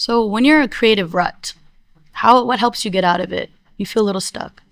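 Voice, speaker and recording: A woman with an ordinary speaking voice, a fairly high pitch, ordinary pitch variation, and a fairly quick pace. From born in India, raised in US. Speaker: interviewer. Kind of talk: interview.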